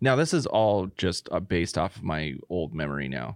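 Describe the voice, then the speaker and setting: A man with an American accent talks at a fairly quick pace in a very deep, low pitch with vocal fry, the sound dry and close with no echo against a quiet background. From United States. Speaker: podcast co-host. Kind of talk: casual chat.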